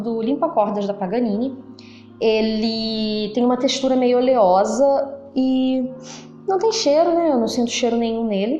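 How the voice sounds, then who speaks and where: Over music in the background and audible room echo, a woman talks at a fairly slow pace and a high pitch. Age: adult. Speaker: amateur violinist vlogger. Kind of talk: product review tutorial.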